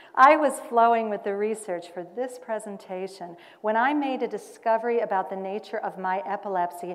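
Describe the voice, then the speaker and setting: At a moderate pace, a woman with an unremarkable speaking voice talks at a medium pitch with ordinary pitch variation. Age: 50s. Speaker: cabaret singer and performance artist. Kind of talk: scripted monologue performance. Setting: stage at a conference. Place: hall.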